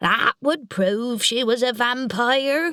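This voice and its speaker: A female-sounding voice in a put-on character voice moves at a very slow pace with a high pitch. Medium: read story. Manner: cheerful, delighted.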